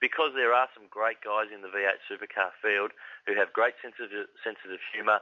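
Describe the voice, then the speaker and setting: A man with an Australian accent speaks at a moderate pace. His loudness swings widely. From Victoria, Australia. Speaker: motorsport commentator. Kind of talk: casual interview chat.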